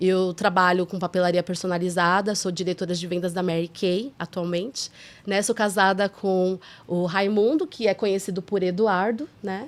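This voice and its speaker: In a very clean recording with a silent background, a woman with a plain, everyday voice speaks at a medium pitch and a moderate pace with ordinary pitch variation. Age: 40s. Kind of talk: casual podcast conversation. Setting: studio.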